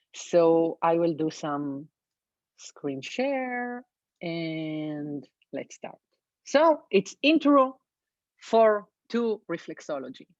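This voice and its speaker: A woman speaks at a very slow pace, her pitch swinging very widely and her loudness rising and falling a lot, with long, frequent pauses. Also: dry, close sound with no echo. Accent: Israeli. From Israel. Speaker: reflexologist. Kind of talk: webinar presentation. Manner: halting, with fillers.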